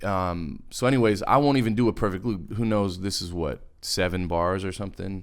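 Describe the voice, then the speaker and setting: At a fairly quick pace and a fairly low pitch, a man speaks with ordinary pitch variation against audible room echo. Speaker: music producer tutorial host. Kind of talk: tutorial. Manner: fast; casual, filler-heavy.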